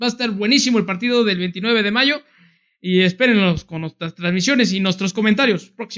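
Against a silent background in a very clean recording, a man with a Mexican accent talks at a moderate pace in a high pitch, with a bright, sharp tone and ordinary pitch variation. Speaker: sports podcast co-host. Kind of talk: casual chat.

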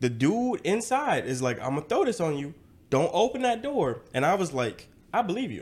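The speaker has an American accent and very wide pitch swings. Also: man, high pitch for a man, moderate pace. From US South, rural Georgia. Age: 20s. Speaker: social media content creator. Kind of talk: casual chat.

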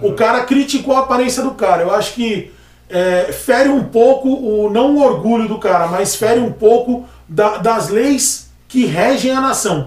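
Against noticeable background noise, a man with an extremely high pitch speaks at a fairly slow pace with ordinary pitch variation. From Brazil, Praia Grande (São Paulo coast). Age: 30s. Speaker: barber. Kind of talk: casual chat.

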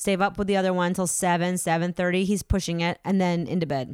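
At a fairly quick pace, a woman with an American accent talks at a medium pitch in an ordinary speaking voice, recorded very cleanly against a silent background. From Massachusetts. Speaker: actor and improviser. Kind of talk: casual chat.

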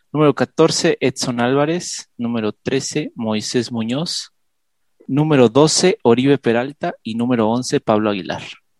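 A man with a normal speaking voice talks at a fairly slow pace and medium pitch, with ordinary pitch variation, in a dry, close sound with no echo against a quiet background. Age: 20s. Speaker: podcast co-host, football fan. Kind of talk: casual chat.

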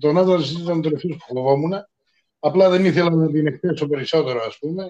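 A man speaks in a fairly high pitch with ordinary pitch variation. His tone is dark and mellow. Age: 50s. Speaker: podcast co-host. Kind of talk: casual chat.

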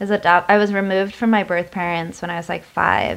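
A woman's normal speaking voice at a moderate pace with fairly even intonation. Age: 20s. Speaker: podcast co-host. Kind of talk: casual chat.

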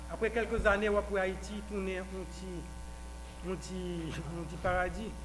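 Noticeable background noise and audible room echo surround a man who talks fairly slowly. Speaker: political party official. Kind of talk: speech. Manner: halting.

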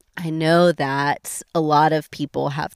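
A woman speaks in a fairly low pitch. The recording is very clean with a silent background and a dry, close sound with no echo. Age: 20s. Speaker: church discipleship director. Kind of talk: interview conversation. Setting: outdoors in the woods at a state park.

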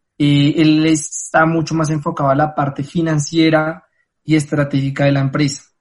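With music in the background, a man speaks in a monotone, flat intonation at a fairly high pitch and a fairly slow pace. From Colombia. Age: 20s. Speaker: travel company founder. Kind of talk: interview.

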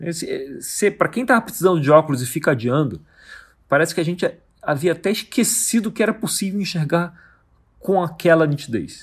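A man's high voice, fairly quick and lively in intonation, on a very clean recording with a silent background. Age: 40s. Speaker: podcast host on Bible study. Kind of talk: solo podcast teaching monologue. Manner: casual, with frequent fillers.

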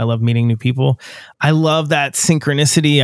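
A man with an American accent and fairly even intonation, on a very clean recording with a silent background. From Western Pennsylvania, US. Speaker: podcast host and touring musician. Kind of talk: casual interview chat.

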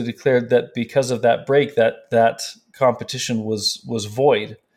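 Speaking with an American accent, a man holds a medium pitch and fairly even intonation. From California. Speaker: board game illustrator. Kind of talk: interview. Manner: halting.

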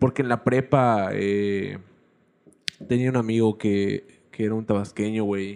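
At a fairly slow pace, a man talks in a monotone with flat intonation and a fairly low pitch. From Yucatán, Mexico. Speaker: podcast host. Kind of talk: casual chat.

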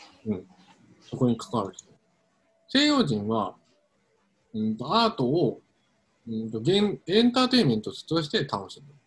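A somewhat breathy man at medium pitch, moderate pace, with very wide pitch swings, big swings in loudness and long, frequent pauses. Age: 30s. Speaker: podcast co-host. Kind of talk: casual chat. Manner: halting.

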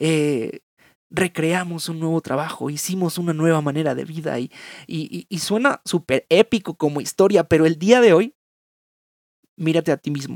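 A man's fairly high pitch with ordinary pitch variation, moderate pace and long, frequent pauses, in a dry, close sound with no echo. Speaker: podcast host. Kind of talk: casual reflective monologue. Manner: halting.

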